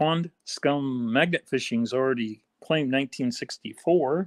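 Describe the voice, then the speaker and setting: Speaking fairly slowly with an American accent, a man holds a medium pitch with ordinary variation, the sound dry and close with no echo. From US. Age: 60s. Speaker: coin hobby youtuber. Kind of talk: livestream chat. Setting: live stream. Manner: casual, halting.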